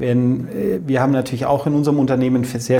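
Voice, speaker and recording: A man talks at medium pitch. Audible room echo and noticeable background noise surround his voice. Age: 40s. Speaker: company managing director. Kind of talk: interview.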